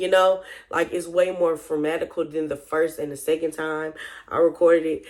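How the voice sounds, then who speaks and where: A woman with a very deep, low pitch at a fairly quick pace, in a very clean recording with a silent background. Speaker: vlogger. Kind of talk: casual monologue.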